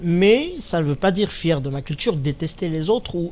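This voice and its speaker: With a Kabyle accent, a man speaks at a moderate pace with ordinary pitch variation. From Kabylie, Algeria. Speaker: comedian. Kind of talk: interview.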